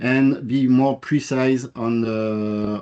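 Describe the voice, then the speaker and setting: A man's dark, mellow voice with a French accent. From France. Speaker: business manager presenting technology. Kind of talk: technical presentation. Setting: workshop presentation. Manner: halting, many fillers.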